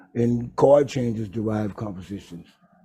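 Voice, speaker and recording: Somewhat breathy and dark, mellow in tone, a man talks at a medium pitch and a moderate pace. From Texas, Houston. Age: 60s. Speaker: jazz trombonist and bandleader. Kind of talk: interview. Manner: halting.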